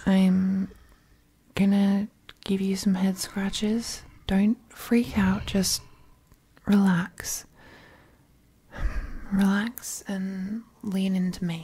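A soft-spoken, very slow delivery with a gentle tone and long, frequent pauses. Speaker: audio roleplay voice actor. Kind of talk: soothing roleplay monologue. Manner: gentle reassuring soft voice.

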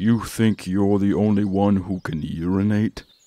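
A man's cartoonish character voice, fairly low in pitch, with monotone, flat intonation. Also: moderate pace. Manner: dramatic, theatrical.

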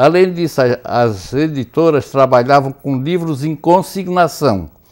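Against a quiet background, a man with a fairly high pitch speaks at a very slow pace. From Brazil, Biguaçu, Santa Catarina; Santa Catarina, Brazil. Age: 80s+. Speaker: writer and journalist; journalist. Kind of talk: interview. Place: studio.

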